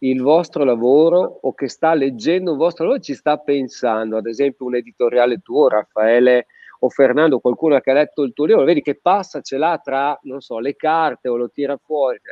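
This is a normal speaking voice, delivered at a moderate pace with ordinary pitch variation. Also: man. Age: 50s. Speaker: physiotherapist. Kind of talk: casual chat. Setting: video call.

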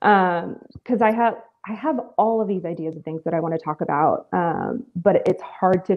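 A woman speaks in an ordinary speaking voice. Her pitch variation is ordinary. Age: 30s. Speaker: aspiring content creator. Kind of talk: casual chat. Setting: video call.

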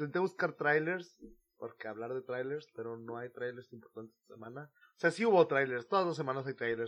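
Fairly quick speech from a man at medium pitch, with ordinary pitch variation and big swings in loudness. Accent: Mexican. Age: 20s. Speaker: podcast host. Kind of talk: casual chat.

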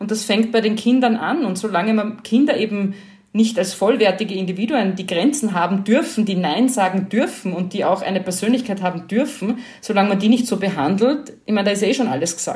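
Audible room echo surrounds a woman with a medium pitch and ordinary pitch variation. She sounds somewhat breathy and goes at a fairly quick pace. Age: 40s. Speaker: journalist and podcaster. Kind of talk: casual interview conversation.

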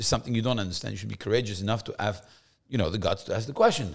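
With a French accent, a somewhat breathy man talks at a very fast pace on a very clean recording with a silent background. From France, Paris. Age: young. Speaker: rabbi. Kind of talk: casual chat.

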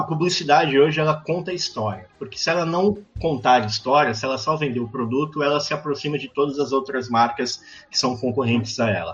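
Here a man has an unremarkable speaking voice at a fairly high pitch. He moves at a fairly quick pace with ordinary pitch variation. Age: 30s. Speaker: advertising and design academic. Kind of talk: casual chat.

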